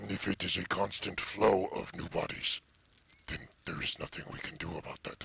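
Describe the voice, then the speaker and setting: At a moderate pace, a man uses a put-on character voice with a fairly low pitch. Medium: actual play. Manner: plain, slightly foreign phrasing.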